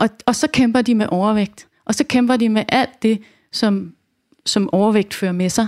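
A woman talks in a normal speaking voice, fairly high-pitched, at a fairly slow pace. Her loudness is very even, her intonation fairly even, and the sound is dry and close with no echo. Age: 40s. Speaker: nutrition coach and educator. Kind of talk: casual interview chat.

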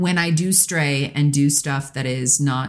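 A woman speaks with a very deep, low pitch. Her pace is very slow. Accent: American. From US Pacific Northwest. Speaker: actress. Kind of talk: casual chat.

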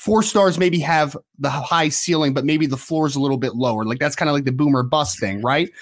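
A man's unremarkable speaking voice, fairly high in pitch, with ordinary pitch variation, a fairly quick pace, and hardly any pauses. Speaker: recruiting analyst. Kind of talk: casual sports analysis chat.

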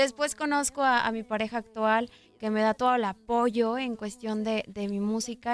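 Using an ordinary speaking voice, a woman with a fairly high pitch talks at a moderate pace. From Mexico, Guadalajara. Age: 20s. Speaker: pop singer. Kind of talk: interview.

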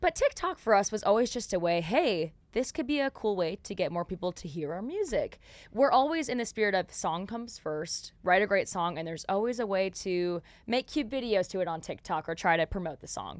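In a very clean recording with a silent background, a woman talks at a fairly quick pace and medium pitch with lively intonation. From North Dakota. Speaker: country singer. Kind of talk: casual chat.

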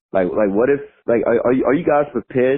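Speaking with an American accent, a man holds a fairly high pitch and shows ordinary pitch variation. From New York. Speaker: listener caller. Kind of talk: voicemail message. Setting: phone voicemail. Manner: excitable.

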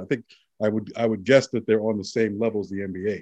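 Against a quiet background, a man with a New York accent speaks at medium pitch in a dark, mellow tone. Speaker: podcast co-host. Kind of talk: casual chat.

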